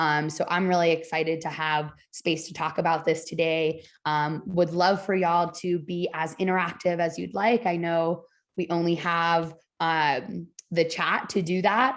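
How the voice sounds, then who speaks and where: A plain, everyday voice at a fairly slow pace, fairly even intonation, quiet background. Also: woman, fairly low pitch for a woman. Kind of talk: webinar presentation.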